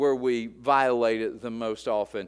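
A man speaks with an Appalachian accent. The recording is very clean, with a silent background. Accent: Appalachian US Southern. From West Virginia. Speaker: pastor. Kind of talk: sermon. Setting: church.

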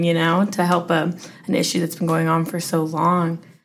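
A woman with an American accent speaks at a moderate pace, with audible room echo. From Henderson, Nevada. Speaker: podcast host. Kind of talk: interview.

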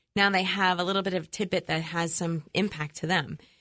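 A woman's fairly low-pitched voice at a moderate pace over a quiet background. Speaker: marketing show host. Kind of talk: radio interview. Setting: studio. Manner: animated.

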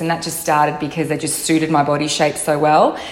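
Over noticeable background noise, a woman with an Australian accent talks in a very deep, low pitch with monotone, flat intonation. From Melbourne, Australia. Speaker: fashion blogger. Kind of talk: recorded interview answer.

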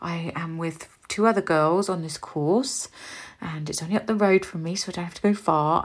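In an English accent, a woman talks at a moderate pace with fairly even intonation and a fairly low pitch. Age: 40s. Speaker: beauty business owner and podcast host. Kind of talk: casual monologue.

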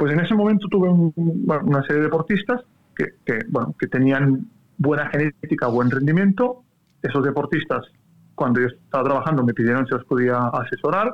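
A plain, everyday voice: a man with fairly high pitch speaks at a fairly quick pace, with lively intonation and very even loudness. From Catalonia, Spain. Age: 30s. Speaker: cycling coach. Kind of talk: interview conversation.

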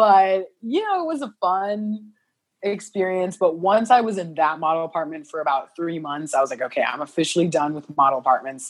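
In a normal speaking voice, a woman talks at a fairly quick pace with lively intonation. Her pitch is fairly low. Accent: American. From US Midwest, southern Illinois. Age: 20s. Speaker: model. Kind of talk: casual chat. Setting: video call.

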